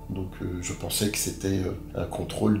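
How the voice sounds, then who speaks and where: Music plays in the background and the room echo is audible as a man with a fairly low pitch speaks at a fairly slow pace. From Paris, France. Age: 60s. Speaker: interviewee, wrongly arrested man. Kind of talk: interview testimony. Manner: halting, many hesitations.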